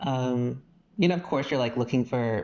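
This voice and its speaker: Speaking at a fairly quick pace, a man has a plain, everyday voice at medium pitch. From Texas. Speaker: podcast guest, pop music fan. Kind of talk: casual chat.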